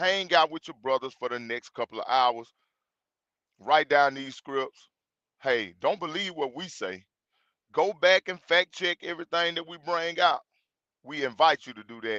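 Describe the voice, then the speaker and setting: With a Mississippi accent and a bright, sharp tone, a man of fairly high pitch speaks at a moderate pace with ordinary pitch variation, big swings in loudness and long, frequent pauses, the sound dry and close with no echo. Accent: Southern, says 'fire' the Mississippi way. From Mississippi, US South. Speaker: Bible study group leader, livestream host. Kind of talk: livestream introduction to a Bible lesson. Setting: livestream. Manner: casual, conversational.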